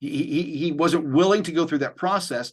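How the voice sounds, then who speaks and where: In an ordinary speaking voice, a man with a fairly high pitch speaks at a moderate pace with ordinary pitch variation against a quiet background. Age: 50s. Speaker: mentor, experienced creative professional. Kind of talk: casual interview.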